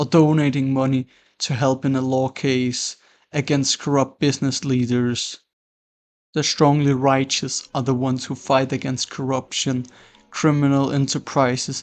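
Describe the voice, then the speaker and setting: A man speaks at a moderate pace and medium pitch. His intonation is monotone and flat. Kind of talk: philosophical explainer narration. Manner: dry.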